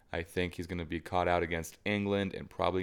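A man's very deep, low voice in an American accent, monotone and flat. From United States. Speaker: football podcast co-host. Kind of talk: casual chat.

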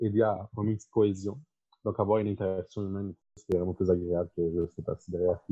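The delivery comes at a very fast pace. Intonation stays fairly even. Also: man. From Quebec, South Shore. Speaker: occupational therapy student. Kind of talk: casual chat.

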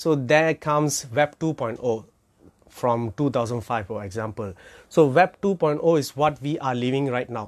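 This man speaks with a Malaysian accent. His pitch sits in the medium range. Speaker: crypto educator. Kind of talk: informal lecture. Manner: casual, filler-heavy.

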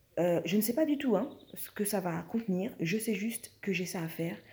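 A woman's dark, mellow, somewhat breathy voice with lively intonation at a moderate pace. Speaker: spiritual wellness podcaster. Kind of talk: casual monologue.

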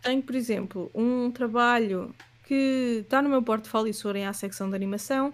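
A woman with a plain, everyday voice speaks at a moderate pace and a fairly high pitch, her intonation fairly even, in a very clean recording with a silent background. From Portugal, Leiria. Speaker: animator and illustrator. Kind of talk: casual interview.

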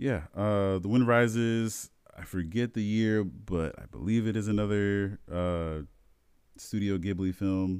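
A man with an American accent and a plain, everyday voice speaks at a fairly slow pace and fairly low pitch, with ordinary pitch variation, in a very clean recording with a silent background. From US Midwest, South Bend, Indiana. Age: 20s. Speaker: podcast co-host. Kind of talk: casual chat.

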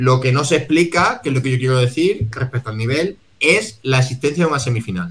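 Using an ordinary speaking voice, a man talks at a fairly quick pace with a medium pitch and lively intonation. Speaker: podcast co-host. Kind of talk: casual chat.

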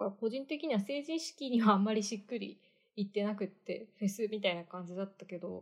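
With an unremarkable speaking voice, a woman talks fairly quickly at a medium pitch. Her intonation is lively, and her loudness swings widely. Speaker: podcast co-host. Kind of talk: casual chat.

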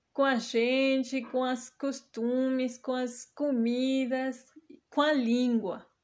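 A woman's high-pitched voice at a very slow pace, over a quiet background. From Mexico. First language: Spanish (speaking Portuguese). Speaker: podcast host. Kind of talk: personal monologue.

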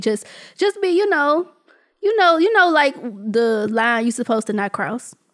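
A woman speaks at a moderate pace with lively intonation. She has an ordinary speaking voice. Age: 20s. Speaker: podcast host. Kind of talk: casual chat.

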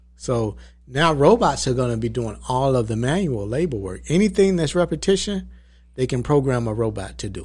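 Somewhat breathy, the voice carries an Atlanta accent and moves at a moderate pace. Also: man, medium pitch for a man. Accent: Southern US, Atlanta. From Atlanta, Georgia. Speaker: entrepreneur and documentary producer.

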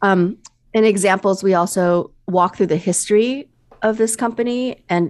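Recorded very cleanly against a silent background, a woman with a plain, everyday voice and an American accent speaks at a moderate pace, a medium pitch, and with fairly even intonation. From US Midwest. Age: 50s. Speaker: business coach and consultant. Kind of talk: interview conversation.

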